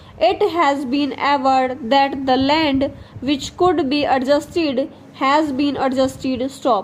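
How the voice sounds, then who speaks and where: A woman talks at a fairly slow pace with high pitch and fairly even intonation, over noticeable background noise. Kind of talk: shorthand dictation. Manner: slow, measured.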